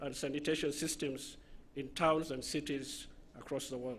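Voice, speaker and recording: A man speaks with a Somali accent. The recording is very clean, its background silent. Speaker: university official at graduation ceremony. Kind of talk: formal introduction speech at ceremony. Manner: formal.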